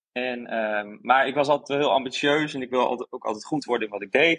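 In a plain, everyday voice with ordinary pitch variation, the speaker talks at a moderate pace over a quiet background. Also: man. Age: 30s. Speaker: graphic designer, former TV contestant. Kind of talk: casual interview.

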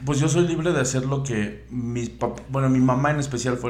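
Amid noticeable background noise and audible room echo, a man talks at a fairly quick pace with ordinary pitch variation. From Veracruz, Mexico (coastal). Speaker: independent music composer and producer. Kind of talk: casual chat.

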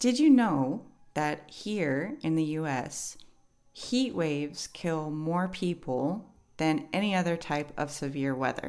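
A woman with a New York accent speaks at a very slow pace, her pitch very deep and low. Her intonation is lively, with music in the background. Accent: New York American English. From New York City. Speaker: English teacher podcast host. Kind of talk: educational podcast monologue.

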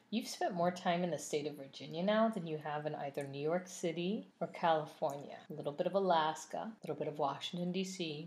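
Speaking at a fairly quick pace with hardly any pauses, the woman sounds somewhat breathy, her pitch fairly low with ordinary variation. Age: 40s. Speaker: wine and food podcast co-host. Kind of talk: casual chat. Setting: home recording with spouse.

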